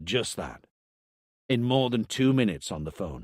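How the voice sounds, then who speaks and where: A man does a put-on character voice at a medium pitch. He growls as he speaks. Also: moderate pace, lively intonation. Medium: read story. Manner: firm, direct, probing.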